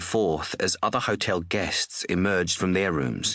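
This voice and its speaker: An Australian-accented man at a moderate pace, against a quiet background. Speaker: audiobook narrator. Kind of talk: audiobook reading of crime novel.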